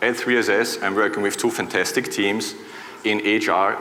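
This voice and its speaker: Amid noticeable background noise and audible room echo, a man speaks with an Austrian accent. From Austria, Vienna. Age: 40s. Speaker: conference speaker. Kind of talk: keynote talk. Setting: stage with audience.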